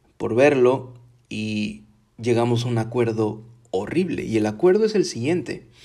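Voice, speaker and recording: Speaking fairly slowly, a man has a dark, mellow tone. His medium pitch shows ordinary variation. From Mexico (Veracruz, Tabasco). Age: 30s. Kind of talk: personal testimony and religious reflection. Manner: casual, with filler hesitations.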